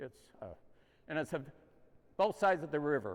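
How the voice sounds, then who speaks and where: The speaker is a man. He has an American accent. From US Midwest, Quad Cities (Moline, Illinois). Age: 80s+. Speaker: community volunteer, dinner organizer. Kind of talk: news interview. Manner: halting.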